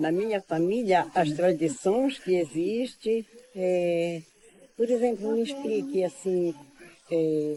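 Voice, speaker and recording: With lively intonation, a woman speaks at a very slow pace and a medium pitch. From Brazil, Pará (Alter do Chão, Amazon region). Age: 80s+. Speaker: traditional prayer leader. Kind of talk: interview. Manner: halting, many repetitions and fillers.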